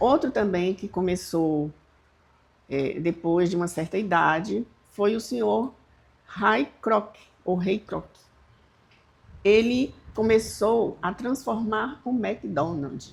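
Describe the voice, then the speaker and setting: A woman with vocal fry speaks very slowly at a medium pitch, her intonation lively and broken by long, frequent pauses. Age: 70s. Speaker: channel host. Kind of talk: casual talk to camera.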